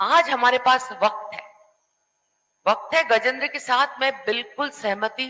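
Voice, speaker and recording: A woman with a non-native accent speaks at a high pitch with ordinary pitch variation. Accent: non-native Hindi. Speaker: panel discussion guest. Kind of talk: panel discussion.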